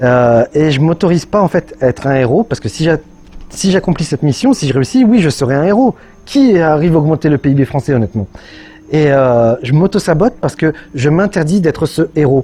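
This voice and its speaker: Lively intonation colors a man's fairly high voice at a moderate pace, with very even loudness. Noticeable background noise is present. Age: 30s. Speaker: YouTuber and entrepreneur. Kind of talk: personal video monologue. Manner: hesitant, many fillers.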